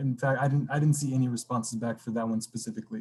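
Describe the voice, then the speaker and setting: A man's medium-pitched voice has a dark, mellow tone and is somewhat breathy. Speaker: community committee volunteer presenter. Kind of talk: public meeting presentation. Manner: quiet; halting, many fillers. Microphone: computer mic, quiet.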